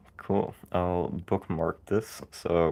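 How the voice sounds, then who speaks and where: A man with a Dutch accent speaks with a very deep, low pitch at a very slow pace. His intonation stays fairly even against a quiet background. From Netherlands. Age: 20s. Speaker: livestreamer, programming student. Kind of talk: casual livestream commentary. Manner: halting, many fillers.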